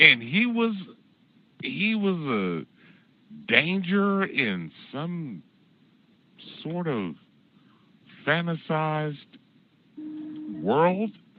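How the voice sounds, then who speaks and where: An American-accented man speaks very slowly at a fairly high pitch, with very wide pitch swings and long, frequent pauses. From California. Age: 60s. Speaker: call-in show host. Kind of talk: casual chat. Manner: animated.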